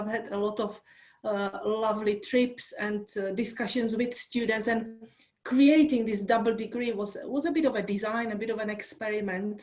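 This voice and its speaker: In a Czech accent, a woman with a fairly high pitch speaks at a moderate pace with fairly even intonation. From Czech Republic. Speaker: university lecturer. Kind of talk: online workshop talk.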